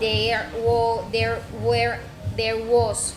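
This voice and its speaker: Over music in the background and audible room echo, a woman speaks at a very slow pace. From Colombia, Caribbean region (Cesar, Sucre). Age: 20s. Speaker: university student of languages. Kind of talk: self-introduction monologue. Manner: halting, many hesitations.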